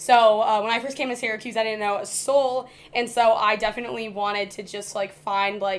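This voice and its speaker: With an American accent and an unremarkable speaking voice, a woman speaks fairly quickly at a fairly high pitch in a very clean recording with a silent background. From US Midwest, Indiana. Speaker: college student, journalism major. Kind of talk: casual chat.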